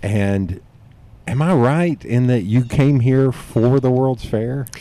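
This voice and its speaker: In a Southern accent, a man with a dark, mellow tone speaks at a very slow pace with ordinary pitch variation. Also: medium pitch for a man. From East Tennessee. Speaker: podcast host. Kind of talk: casual chat.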